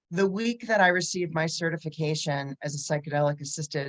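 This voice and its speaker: With a plain, everyday voice, a woman of fairly low pitch speaks at a moderate pace with ordinary pitch variation, in a dry, close sound with no echo. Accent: American. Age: 60s. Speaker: psychotherapist. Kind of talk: panel discussion. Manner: casual, conversational.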